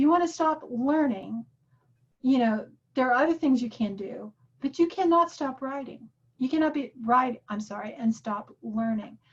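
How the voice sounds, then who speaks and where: Her voice is high-pitched. This woman's intonation rises and falls in a lively way. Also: moderate pace. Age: 60s. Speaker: workshop teacher. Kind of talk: lecture. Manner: animated.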